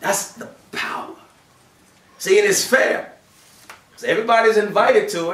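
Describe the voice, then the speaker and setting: A man speaks in an animated tone at a moderate pace, leaving long, frequent pauses. His loudness swings widely, and audible room echo fills the recording. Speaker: preacher. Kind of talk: Friday sermon (khutbah). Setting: mosque during Friday prayer. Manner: animated, conversational preaching with rhetorical questions; earnest, exhortative. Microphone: camera far.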